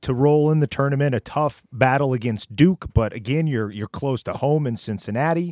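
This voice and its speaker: A plain, everyday voice with an American accent moves at a moderate pace with ordinary pitch variation and hardly any pauses, the sound dry and close with no echo. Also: man. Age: 40s. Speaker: podcast co-host. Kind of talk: casual interview. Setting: video call.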